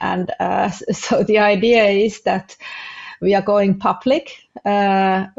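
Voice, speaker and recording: Speaking at a very slow pace, a woman with a non-native accent uses a medium pitch. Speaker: family business consultant. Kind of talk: podcast interview. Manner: halting, many fillers.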